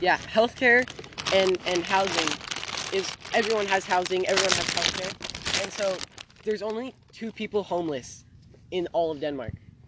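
The speaker talks at a moderate pace with long, frequent pauses. Noticeable background noise runs underneath. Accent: American. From Los Angeles, California (Venice). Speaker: podcast co-host. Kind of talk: casual chat. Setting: outdoors. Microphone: laptop mic.

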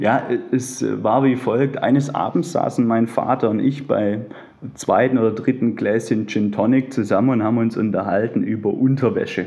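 This man speaks at a moderate pace in a medium pitch, with fairly even intonation and very even loudness over noticeable background noise. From Swabia, near Stuttgart. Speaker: bank client advisor and underwear label founder. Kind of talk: interview.

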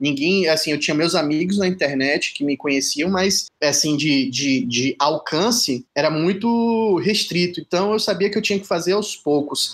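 A high-pitched man talks at a moderate pace with lively intonation and hardly any pauses, on a very clean recording with a silent background. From Salvador, Bahia, Brazil. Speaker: writer and playwright. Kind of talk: interview.

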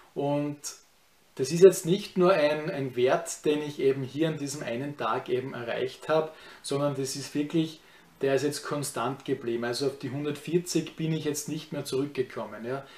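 A man's fairly high-pitched voice is heard against noticeable background noise. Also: moderate pace. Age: 30s. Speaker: YouTuber. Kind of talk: vlog review of personal experience. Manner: casual, with many filler words.

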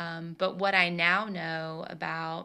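A woman's fairly low, bright, sharp voice with a Southern US accent, very slow pace and fairly even intonation against a quiet background. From Tennessee. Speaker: podcast host. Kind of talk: casual solo talk.

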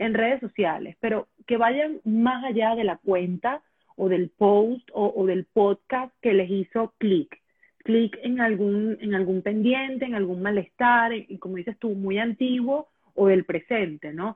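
The pace of this woman's speech is very slow. Her voice sits fairly high. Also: ordinary pitch variation. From Venezuela. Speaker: sexologist. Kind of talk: interview.

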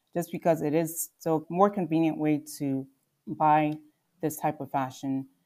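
A woman's very deep, low voice with a Mid-Atlantic accent, dark and mellow in tone, fairly even in intonation, at a fairly slow pace, in a very clean recording with a silent background. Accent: American, Mid-Atlantic. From Philadelphia suburbs, Pennsylvania (born in Nigeria, moved at six). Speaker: fashion brand founder. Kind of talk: interview.

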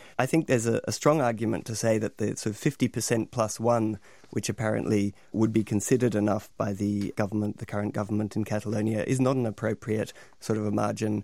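A man speaks at a very fast pace in a fairly low, dark, mellow voice with vocal fry and fairly even intonation, on a very clean recording with a silent background. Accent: Australian. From Australia, Melbourne. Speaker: academic lecturer. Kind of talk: radio panel discussion.

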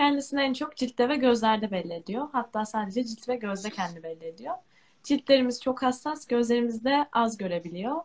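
Moderately paced and fairly high in pitch, a plain, everyday voice from a woman. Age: 20s. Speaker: university student with albinism. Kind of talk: live stream interview.

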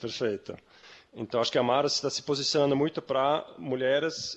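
A man speaks with a medium pitch and ordinary pitch variation. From Switzerland, Zurich. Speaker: company founder. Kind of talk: interview. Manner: halting.

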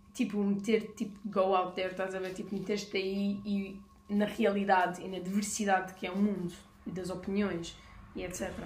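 Speaking at a moderate pace and medium pitch, this woman keeps a monotone, flat intonation. Audible room echo and noticeable background noise are present. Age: 20s. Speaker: podcast co-host. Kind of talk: casual chat. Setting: garage.

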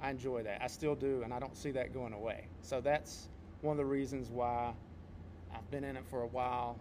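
Fairly quick delivery in an unremarkable speaking voice, its pitch varying in an ordinary way. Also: man, medium pitch for a man. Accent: American. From North Carolina. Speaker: podcast co-host, martial arts instructor and competitor. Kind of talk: casual podcast chat.

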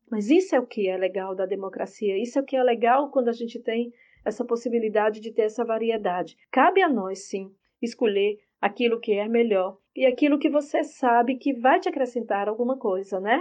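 A woman's plain, everyday voice, fairly high in pitch, with lively intonation and a moderate pace. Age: 50s. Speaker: journalist and university professor. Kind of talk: interview answers, explanatory.

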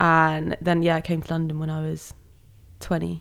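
A woman with a southern English accent speaks at a very deep, low pitch in a monotone, flat way. The recording is very clean, with a silent background. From southern England (West Sussex), moved from Malaysia at six. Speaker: creative consultant. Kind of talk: casual interview chat.

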